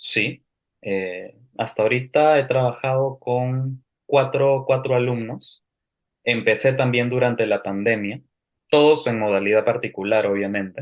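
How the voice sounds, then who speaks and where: Speech comes at a fairly slow pace. The pitch variation is ordinary. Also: man, medium pitch for a man. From Peru. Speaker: language teacher. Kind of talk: interview.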